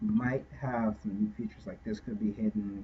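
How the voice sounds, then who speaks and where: A man speaks at a fairly low pitch, his voice swinging very widely up and down. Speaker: game scripting tutorial maker. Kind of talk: tutorial. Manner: halting, many fillers; casual.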